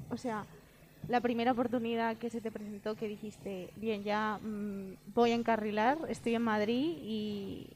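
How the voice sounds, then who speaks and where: With an unremarkable speaking voice, a woman talks at a fairly slow pace and fairly high pitch, keeping her intonation fairly even. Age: 20s. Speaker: podcast co-host. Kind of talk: casual interview.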